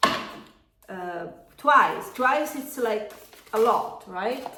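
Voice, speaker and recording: Over noticeable background noise and audible room echo, a woman speaks in a fairly high pitch with an Italian accent. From Italy. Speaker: tarot reader and yoga teacher. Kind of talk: tarot reading. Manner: halting, many fillers.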